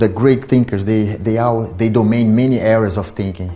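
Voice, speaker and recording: A man talks in a fairly low pitch with fairly even intonation. There is audible room echo. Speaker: lecturer on esoteric history. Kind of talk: lecture. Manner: halting, with repetitions and restarts.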